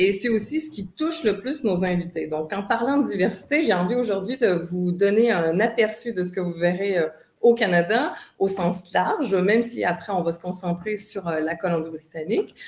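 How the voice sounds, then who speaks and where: Lively intonation marks this woman's medium-pitched voice, delivered in a Quebec accent. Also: moderate pace. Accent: Québécois. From Quebec, Montreal. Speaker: tourism board representative. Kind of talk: online presentation. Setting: video call webinar. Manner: hesitant, many fillers.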